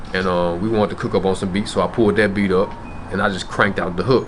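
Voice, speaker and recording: In a Memphis accent, the speaker rattles off words at a very fast pace with monotone, flat intonation over noticeable background noise. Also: man. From US South, Memphis. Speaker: rapper. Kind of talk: interview. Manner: casual, slangy.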